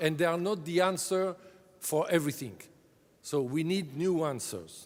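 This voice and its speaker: A man speaks with a French accent. Audible room echo fills the recording. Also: fairly high pitch for a man, ordinary pitch variation, moderate pace. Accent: French-speaking accent in English. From French-speaking Europe. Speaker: drug agency director. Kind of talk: conference keynote speech. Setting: conference stage with audience. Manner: halting, many fillers.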